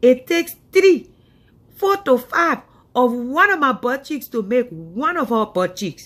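A woman with a high voice speaks fairly slowly in an animated tone, her pitch swinging very widely. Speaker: comedian. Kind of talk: comedy skit monologue. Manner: animated, scolding. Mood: drowsy, annoyed, mocking. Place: home room. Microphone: earbuds.

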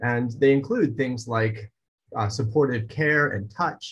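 A man speaks at a moderate pace with a somewhat breathy voice and ordinary pitch variation over a quiet background. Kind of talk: lecture. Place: home room. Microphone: webcam.

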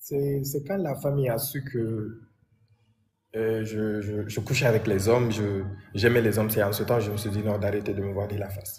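Through audible room echo, a man with a somewhat breathy, fairly low voice talks at a moderate pace with fairly even intonation and long, frequent pauses. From Guinea, Conakry. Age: 20s. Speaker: interviewee sharing life story. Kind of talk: personal testimony interview. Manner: halting, repetitive.

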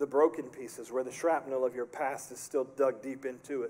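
Talking at a fairly quick pace, a man uses a fairly high pitch. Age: 40s. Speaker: pastor. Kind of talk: sermon. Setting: church. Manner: animated. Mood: earnest, pastoral. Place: church.

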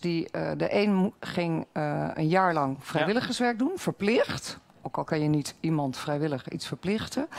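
Here a woman speaks at a very slow pace. Her intonation is lively. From Netherlands. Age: 50s. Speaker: local party candidate. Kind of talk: debate. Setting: stage with audience. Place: hall.

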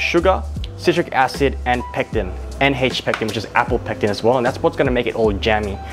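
A man's upbeat, fairly quick delivery over clear background music. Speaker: chef. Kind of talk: casual cooking tutorial talk to camera. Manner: casual, upbeat. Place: kitchen. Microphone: lapel.

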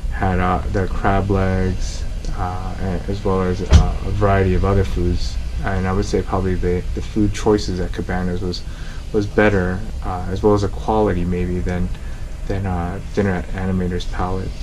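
A man's very deep, low voice at a moderate pace, with music in the background. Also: ordinary pitch variation. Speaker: family travel vlogger. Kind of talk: casual vlog chat. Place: home room. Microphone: phone near.

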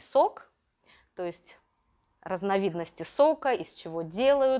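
A woman talks very slowly at a medium pitch with lively intonation. The background is quiet. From Russia, Urals (Magnitogorsk); Russia. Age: 50s. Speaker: Russian language teacher for children. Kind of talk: interview. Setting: classroom. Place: classroom. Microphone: lapel.

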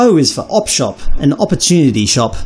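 Moderate pacing carries this male voice. An Australian accent colors his words. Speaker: educator working with international students. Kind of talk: educational explainer to camera.

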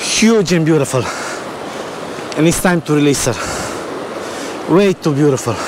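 A man's slow, lively-intoned speech, fairly high in pitch, with clear background noise

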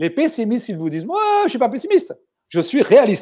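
A man speaks at an extremely high pitch with very wide pitch swings and a dark, mellow tone. The background is quiet. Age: 60s. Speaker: speaker on managerial optimism, former company head; guest. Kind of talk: interview. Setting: online video livestream. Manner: emphatic, repeats words for emphasis. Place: home room. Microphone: earbuds.

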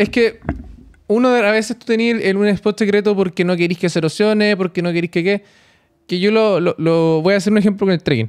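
A man with a Chilean accent speaks at a high pitch and a fairly quick pace. His intonation is fairly even, his loudness very even, and the background quiet. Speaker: podcast co-host. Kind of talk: casual chat. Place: studio. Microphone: studio mic.

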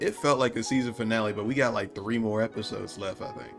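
A man talks fairly quickly while faint music plays behind him. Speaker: anime reaction creator. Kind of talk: reaction commentary. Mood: amused, upbeat.

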